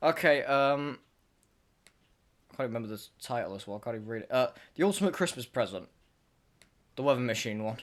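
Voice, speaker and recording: Speaking very fast with an English accent, a man at medium pitch uses lively intonation and big swings in loudness, broken by long, frequent pauses. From England. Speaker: podcast host. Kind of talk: casual chat.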